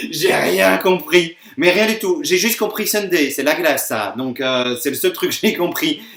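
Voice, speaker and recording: A man's high-pitched voice with a Belgian accent, fairly slow yet with hardly any pauses, very wide pitch swings, and noticeable background noise. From Belgium. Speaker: YouTuber. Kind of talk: casual reaction video. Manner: hesitant, many fillers.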